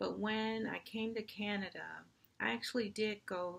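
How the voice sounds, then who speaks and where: A fairly slow pace with an American accent. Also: woman. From United States. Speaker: university diversity administrator. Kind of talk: personal commentary to camera.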